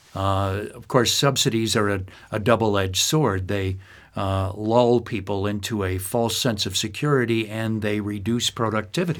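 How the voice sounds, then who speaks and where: This is a man with an American accent and an ordinary speaking voice. His intonation is fairly even. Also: fairly low pitch for a man, moderate pace. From upstate New York, US. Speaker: podcast host. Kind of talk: scripted intro; interview conversation.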